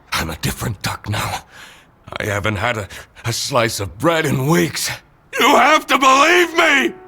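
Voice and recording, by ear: A man's put-on character voice, fairly high-pitched, bright and sharp, with vocal fry, big pitch swings and a fairly slow pace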